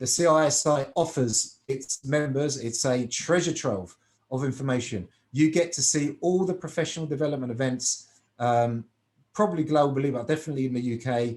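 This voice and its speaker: A man in a British accent speaks with ordinary pitch variation. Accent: British accent, noticeable in Cyprus. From UK. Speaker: finance professional and exam tutor. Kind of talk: webinar presentation.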